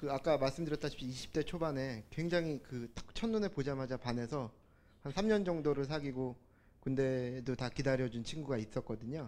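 A man speaks with a plain, everyday voice at a medium pitch. His pace is moderate, and his pitch varies in an ordinary way. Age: 30s. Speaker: audience member. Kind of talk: personal testimony. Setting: stage with audience.

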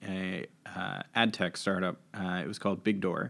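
At a fairly slow pace, a man with an American accent speaks on a very clean recording with a silent background. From US, Washington, D.C. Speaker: lawyer and cryptocurrency figure. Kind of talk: interview conversation. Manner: hesitant, many filler words.

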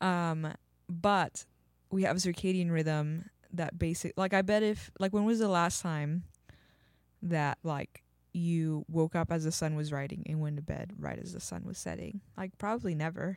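A woman's plain, everyday voice with an American accent, fairly low in pitch at a moderate pace, with fairly even intonation on a very clean recording with a silent background. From Texas. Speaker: podcast co-host. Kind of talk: casual chat.

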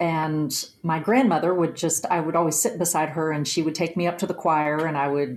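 A woman speaks in an unremarkable speaking voice at a fairly low pitch. Her intonation is fairly even and her pace moderate. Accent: American. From West Virginia, Nicholas County. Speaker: singer-songwriter. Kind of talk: interview conversation.

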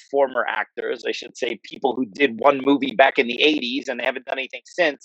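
With an American accent, a man speaks fairly quickly at a fairly high pitch with lively intonation, in a dry, close sound with no echo. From US Northeast, New Jersey. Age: 40s. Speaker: martial arts instructor. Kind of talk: interview.

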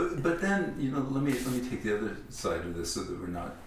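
Very wide pitch swings from a man at medium pitch, moderate pace, and noticeable background noise. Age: 40s. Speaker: podcast host. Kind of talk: scripted narration; casual chat. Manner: halting.

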